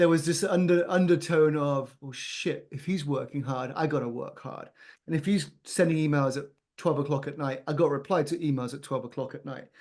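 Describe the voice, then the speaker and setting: Speaking at a fairly quick pace, a man with a British accent has a fairly high pitch. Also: big swings in loudness. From England. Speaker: business founder and CEO. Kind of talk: podcast interview. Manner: energetic, exuberant.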